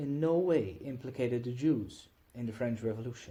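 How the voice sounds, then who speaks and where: Speaking at a fairly quick pace, a man uses lively intonation at a medium pitch. His tone is dark, mellow and somewhat breathy. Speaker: audiobook reader. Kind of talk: reading aloud.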